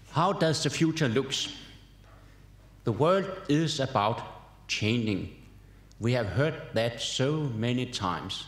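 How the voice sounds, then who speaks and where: A man's medium-pitched voice at a very slow pace, with lively intonation, very even loudness, long, frequent pauses and audible room echo. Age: 70s. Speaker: professor. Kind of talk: keynote lecture. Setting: conference hall with audience.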